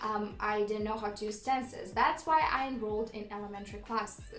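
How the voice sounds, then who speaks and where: A woman speaks with a slight non-native accent. Audible room echo and background music accompany her. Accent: slight non-native accent, praised by viewers. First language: Romanian. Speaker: vlogger. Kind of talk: casual storytelling vlog.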